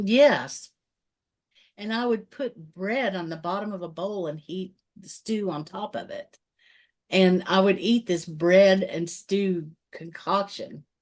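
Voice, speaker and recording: Very slowly, a woman speaks at a medium pitch with ordinary pitch variation. Her loudness swings widely against a quiet background. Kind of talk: casual podcast conversation.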